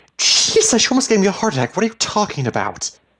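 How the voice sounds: A man puts on a character voice with a bright, sharp tone, pitched high for a man, racing along at a fast pace through very wide pitch swings.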